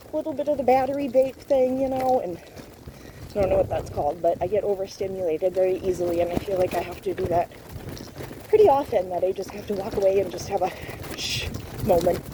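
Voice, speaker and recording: Over noticeable background noise, a woman speaks very fast at a medium pitch with lively intonation. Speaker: vlogger. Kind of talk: casual chat. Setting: outdoors. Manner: loud.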